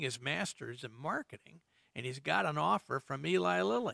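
A man with a medium pitch, a bright, sharp tone and vocal fry, captured dry and close with no echo. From Indiana, US Midwest. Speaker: retired resort executive. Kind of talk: interview.

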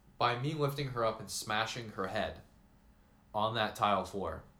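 A man's bright, sharp tone comes through with audible room echo. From US Northeast, Vermont. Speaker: college student podcast co-host. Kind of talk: casual chat. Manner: animated.

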